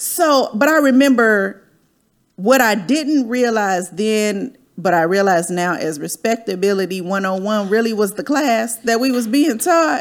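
A woman with an American accent speaks at a fairly slow pace in a plain, everyday voice. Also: fairly high pitch for a woman, lively intonation. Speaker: podcast host. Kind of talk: casual chat, podcast interview. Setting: video livestream.

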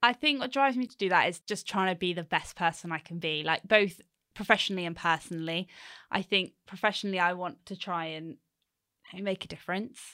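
A woman's medium-pitched voice with a southern English accent and a bright, sharp tone, fairly quick, with ordinary pitch variation and big swings in loudness, in a very clean recording with a silent background. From southern England, Hampshire. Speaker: waste transfer station manager. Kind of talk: casual interview.

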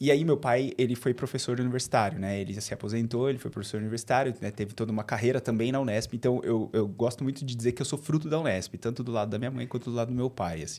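In a medium pitch with a dark, mellow tone, a man speaks at a very fast pace with hardly any pauses and ordinary pitch variation. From Bauru, interior of São Paulo state, Brazil. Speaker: people and culture leader at a digital bank. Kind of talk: interview conversation.

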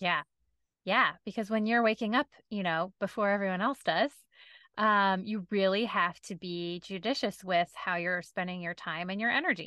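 At a moderate pace, a woman speaks in a plain, everyday voice with a medium pitch and ordinary pitch variation. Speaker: podcast host, lawyer and business owner. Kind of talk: casual interview chat. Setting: video call.

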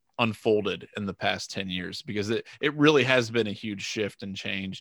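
On a very clean recording with a silent background, a man with a fairly low pitch and a bright, sharp tone speaks at a moderate pace. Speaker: sports podcast co-host. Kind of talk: casual chat. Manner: animated, laughs often.

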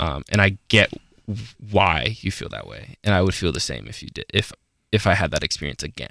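On a very clean recording with a silent background and a dry, close sound with no echo, a man with a very deep, low pitch, a bright, sharp tone and vocal fry speaks at a moderate pace with lively intonation. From Colorado. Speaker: podcast co-host. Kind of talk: casual chat. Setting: studio. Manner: halting.

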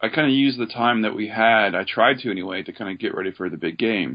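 A man with an American accent uses a normal speaking voice at a medium pitch. He talks at a fairly quick pace with ordinary pitch variation. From Oregon. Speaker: army veteran. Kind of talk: interview.

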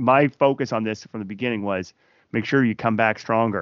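A man speaks with a Maritime Canadian accent. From Fredericton, New Brunswick, Canada. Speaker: singer-songwriter. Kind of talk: casual interview.

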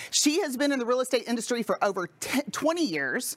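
Here is a woman with an unremarkable speaking voice. Her intonation is lively and her pace moderate. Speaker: podcast host. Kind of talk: casual interview chat.

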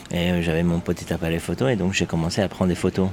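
A man talks at a fairly quick pace in a very deep, low pitch, with noticeable background noise behind him. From Iran (Afghan refugee family). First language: Dari/Persian (speaking French). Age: 20s. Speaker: journalist. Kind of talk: testimony. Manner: halting.

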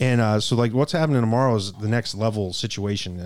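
On a very clean recording with a silent background, a man speaks in a normal speaking voice, fairly low in pitch, with fairly even intonation. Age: 30s. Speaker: cigar company sales executive. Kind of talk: casual chat. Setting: studio.

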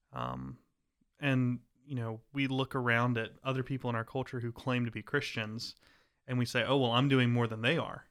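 Recorded very cleanly against a silent background, a man speaks at a medium pitch in a monotone, flat delivery. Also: moderate pace. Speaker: podcast host. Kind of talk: casual interview.

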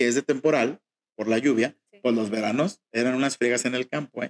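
A man talks in a normal speaking voice with ordinary pitch variation. The sound is dry and close, with no echo. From Mexico, Jalisco (rural town near Guadalajara). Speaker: fashion designer. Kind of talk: interview.

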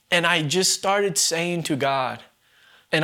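A man with an American accent speaks at a fairly slow pace, his pitch fairly high. He has an unremarkable speaking voice. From US Northeast, Vermont. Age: 20s. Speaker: ministry leader, former addict. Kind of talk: testimony.

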